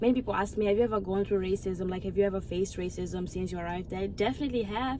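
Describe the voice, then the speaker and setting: Delivered at a very fast pace, this voice carries an African accent and fairly even intonation. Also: woman, medium pitch for a woman. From Mozambique. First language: Portuguese. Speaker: YouTuber. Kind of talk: casual chat. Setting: outdoors.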